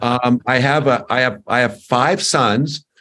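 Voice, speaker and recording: A man's medium-pitched voice at a fairly slow pace. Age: 60s. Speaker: company executive. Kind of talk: interview. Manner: halting, many fillers and repetitions.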